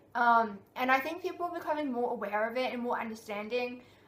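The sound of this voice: A woman talks fast, her fairly high voice fairly bright in tone with ordinary pitch variation. Audible room echo surrounds her.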